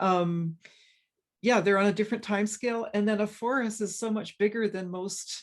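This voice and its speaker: A woman with a western Canadian accent, at medium pitch and moderate pace, with ordinary pitch variation. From Canada, British Columbia. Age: 60s. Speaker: forest ecologist, professor. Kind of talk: interview conversation. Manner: halting, many fillers and restarts.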